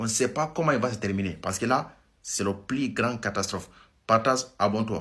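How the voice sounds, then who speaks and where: In a very clean recording with a silent background, a man talks at a fairly quick pace in a bright, sharp tone, at medium pitch with ordinary pitch variation. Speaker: news commentary vlogger. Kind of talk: casual news commentary. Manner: halting, self-correcting.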